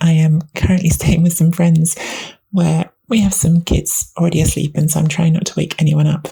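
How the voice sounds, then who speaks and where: A woman uses a put-on character voice that is quiet, raspy and fairly low. Her intonation is monotone and flat, at a moderate pace. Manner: speaking quietly.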